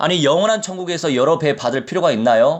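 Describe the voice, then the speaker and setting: A man with lively intonation and a fairly quick pace, against a quiet background. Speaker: pastor. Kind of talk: sermon.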